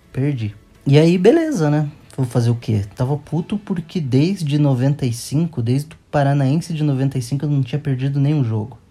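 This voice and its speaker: Speaking at a fairly slow pace, a man has a fairly high pitch, a somewhat breathy, dark and mellow tone, and ordinary pitch variation. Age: 30s. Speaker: football fan. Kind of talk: storytelling. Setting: at home with his son.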